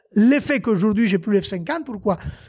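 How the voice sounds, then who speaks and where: Against a quiet background, a man with a high pitch speaks at a moderate pace in an animated tone with lively intonation. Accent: Italian. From Italy. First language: Italian (speaking French). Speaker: former rally driver and car dealer. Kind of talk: casual podcast interview storytelling. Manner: animated, with hesitations and restarts. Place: garage. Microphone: handheld.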